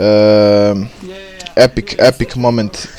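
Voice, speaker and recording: The speaker has a Bosnian accent, with noticeable background noise. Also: man. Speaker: gaming YouTuber. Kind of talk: video intro monologue. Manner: halting, many fillers.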